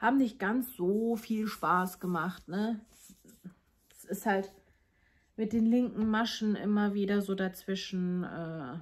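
Very slow and broken by long, frequent pauses, a woman's somewhat breathy, medium-pitched voice shows ordinary pitch variation and big swings in loudness. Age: 30s. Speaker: knitting vlogger. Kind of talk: casual monologue to viewers. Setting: home, recording alone.

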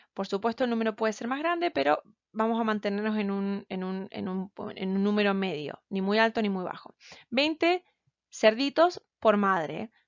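A woman with a medium pitch talks at a moderate pace, her intonation lively. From Argentina. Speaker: graduate student. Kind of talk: presentation. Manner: halting.

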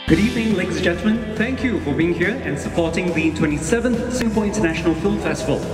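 A man at a high pitch and very fast pace, with ordinary pitch variation, audible room echo and clear music in the background. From Singapore. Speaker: bilingual event emcee. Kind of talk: live gala event hosting. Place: stage. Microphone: handheld.

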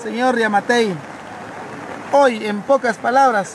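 Over crowd noise in the background, a man speaks at an extremely high pitch and a fairly slow pace with ordinary pitch variation, the sound dry with no echo. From Guatemala, Cobán. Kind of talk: emergency appeal. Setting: outdoors. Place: street.

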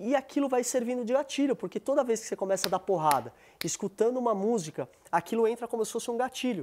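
The recording is very clean with a silent background and a dry, close sound with no echo. A man with an extremely high pitch talks very fast, with ordinary pitch variation. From São Paulo, Brazil. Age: 30s. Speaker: retired MMA fighter. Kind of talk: casual chat.

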